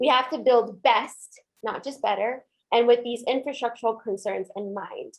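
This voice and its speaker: Her voice is fairly high-pitched, and this woman uses ordinary pitch variation. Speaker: community organizer. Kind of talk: webinar presentation. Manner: fast.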